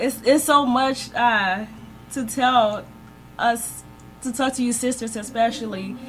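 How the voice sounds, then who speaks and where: Against noticeable background noise, a woman speaks at a fairly slow pace with long, frequent pauses. Her pitch is high and her intonation fairly even. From Liberia. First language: not English. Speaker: church member guest. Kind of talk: radio interview testimony.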